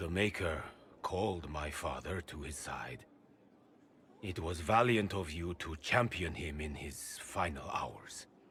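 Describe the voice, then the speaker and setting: In a put-on character voice, a man talks at a fairly slow pace. His pitch is very deep and low. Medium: short film. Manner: formal, courteous.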